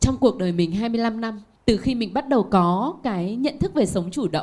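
A dark, mellow tone, somewhat breathy, with lively intonation. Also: woman. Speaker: author and manager. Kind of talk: panel talk.

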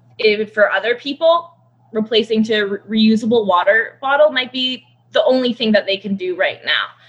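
A woman with a Canadian accent talks at a moderate pace in a normal speaking voice. Her pitch is fairly high, with ordinary variation. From Canada. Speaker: conservationist. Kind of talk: casual chat.

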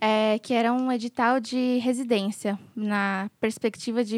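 A woman talks at a very slow pace, her pitch fairly high and her intonation fairly even. The recording is very clean, with a silent background and a dry, close sound with no echo. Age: 20s. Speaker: midwife. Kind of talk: casual chat.

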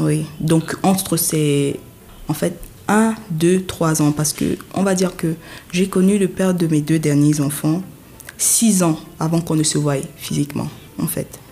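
Very slow, with long, frequent pauses, a woman speaks in a very deep, low pitch, her tone dark and mellow and her intonation fairly even. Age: 20s. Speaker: interviewed mother. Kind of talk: personal testimony.

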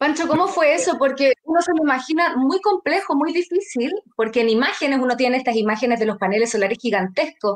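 Very fast and with hardly any pauses, a woman speaks in a high voice with very wide pitch swings. Her loudness stays very even. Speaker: podcast host, interviewer. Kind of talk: interview.

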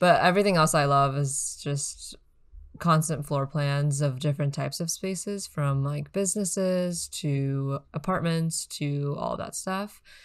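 On a very clean recording with a silent background, the speaker goes at a fairly slow pace with ordinary pitch variation. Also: woman, very deep, low pitch for a woman. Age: 20s. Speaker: designer. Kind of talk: casual chat.

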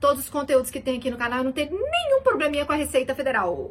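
A woman with a bright, sharp tone and an animated manner speaks in a raised, projected voice. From Belo Horizonte, Minas Gerais, Brazil. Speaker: accountant and finance YouTuber. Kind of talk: casual explainer video.

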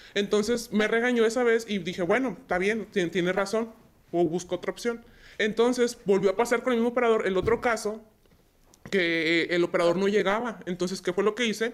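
An unremarkable speaking voice from a woman, medium in pitch, fairly quick and fairly even in intonation. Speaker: logistics dispatcher. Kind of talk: casual interview chat.

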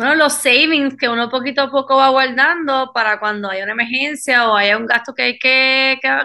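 Her raised, projected voice is high-pitched for a woman, with ordinary pitch variation and a fairly quick pace. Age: 20s. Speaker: chiropractor. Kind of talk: casual chat.

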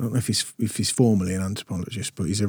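A man at a very fast pace with fairly even intonation, in a very clean recording with a silent background. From Berkshire, southern England. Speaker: podcast host. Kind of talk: casual interview chat. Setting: studio.

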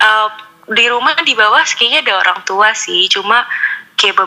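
A woman's fairly high voice carries lively intonation over noticeable background noise. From Bandung, West Java, Indonesia. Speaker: podcast listener sharing ghost stories. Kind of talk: storytelling.

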